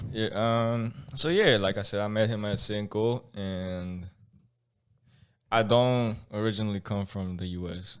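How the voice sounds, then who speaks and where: A man's fairly low voice with a Spanish accent, fairly slow and fairly even in intonation, on a very clean recording with a silent background. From Mexico. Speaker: podcast guest. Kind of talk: casual chat. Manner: halting, many repeats and restarts.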